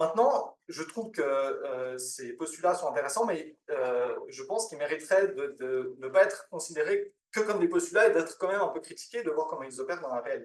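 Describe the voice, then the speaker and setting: With hardly any pauses, a man talks at a fairly quick pace. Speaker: academic researcher. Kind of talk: conference presentation. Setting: conference with audience. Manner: fast; halting, many fillers.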